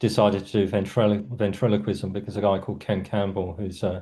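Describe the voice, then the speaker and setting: In a South London accent, a man speaks at a fairly quick pace against a quiet background. His pitch is fairly low, and his intonation is monotone and flat. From South London, England. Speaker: writer and cultural critic. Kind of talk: interview conversation. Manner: little mouth movement, stone-faced delivery; hesitant, many fillers.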